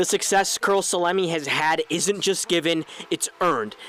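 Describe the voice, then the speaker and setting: With noticeable background noise, a high-pitched man speaks at very even loudness and ordinary pitch variation. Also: moderate pace. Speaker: sports reporter. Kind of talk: sports broadcast reporting, play-by-play and anchor delivery.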